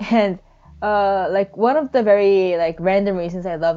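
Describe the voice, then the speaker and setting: Woman with a non-native accent, fairly slow and with fairly even intonation. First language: not English. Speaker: digital artist. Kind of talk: speedpaint voiceover chat. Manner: halting.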